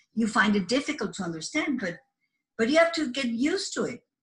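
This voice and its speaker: A somewhat breathy woman's voice in a Spanish accent. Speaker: office assistant. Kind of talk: career talk to camera. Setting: office. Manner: halting, with repeated words and fillers.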